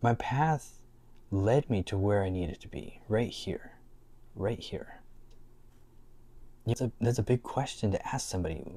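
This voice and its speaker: A man with a dark, mellow, somewhat breathy tone speaks at a fairly low pitch and a moderate pace, with lively intonation. The recording is very clean, with a silent background. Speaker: spiritual life coach video creator. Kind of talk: casual talk to camera.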